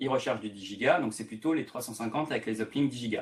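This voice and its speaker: A man talks with ordinary pitch variation. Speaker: tech sales presenter. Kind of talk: webinar presentation. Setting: online webinar. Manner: fast; hesitant fillers.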